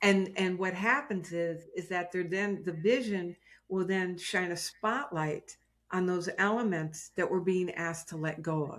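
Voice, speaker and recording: A woman with a plain, everyday voice speaks at a medium pitch and a fairly slow pace, with ordinary pitch variation. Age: 60s. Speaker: success and prosperity teacher. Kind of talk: casual interview chat.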